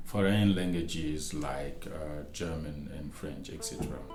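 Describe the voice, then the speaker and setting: Audible room echo fills the space. A man speaks with a very deep, low pitch. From Mali (Bamako). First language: Bambara. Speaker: academic researcher and lecturer. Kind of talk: interview. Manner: halting.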